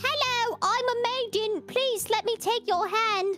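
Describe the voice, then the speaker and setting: Against clear background noise, a woman puts on a character voice at an extremely high pitch and a fairly slow pace. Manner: stupid, mocking.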